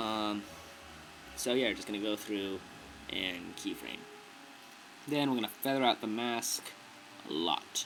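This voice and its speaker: Music plays behind a man with fairly low pitch. He speaks at a fairly slow pace, with long, frequent pauses. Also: ordinary pitch variation. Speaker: video tutorial maker. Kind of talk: tutorial. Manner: casual; stuttering, many fillers.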